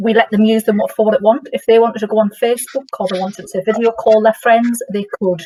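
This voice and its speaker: Speaking at a very fast pace with hardly any pauses, the voice has a northern English accent and fairly even intonation. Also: woman, fairly high pitch for a woman. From northern England. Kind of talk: workshop discussion. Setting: workshop with audience.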